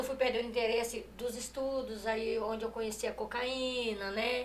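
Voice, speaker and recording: Audible room echo surrounds a woman speaking at a high pitch and a moderate pace. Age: 30s. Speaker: gospel singer giving testimony. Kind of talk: testimony. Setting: live stream. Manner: halting, repeats words.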